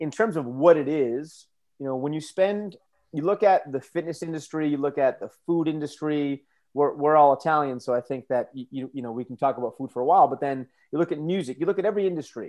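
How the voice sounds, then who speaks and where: A man with an American accent speaks at a fairly quick pace in a fairly high pitch. He has a plain, everyday voice with ordinary pitch variation. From United States. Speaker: strength coach and professor. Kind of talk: interview.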